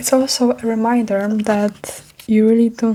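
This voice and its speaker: Soft-spoken and fairly high-pitched, a woman talks in a monotone, flat way over noticeable background noise. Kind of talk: ASMR comfort talk.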